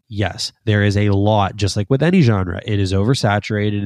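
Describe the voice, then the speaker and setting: Speaking in a Canadian accent, a man has a very deep, low voice, a moderate pace and fairly even intonation. The recording is very clean and dry, close and echo-free, with a silent background. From Canada, Toronto (Scarborough). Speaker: instrumental band musician. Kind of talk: casual interview chat. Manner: casual, many fillers.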